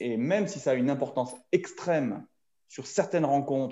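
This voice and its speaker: A man speaks at a very slow pace in a dark, mellow tone. His pitch swings very widely. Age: 40s. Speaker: rugby referee. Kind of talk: casual chat. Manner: halting, repeats words.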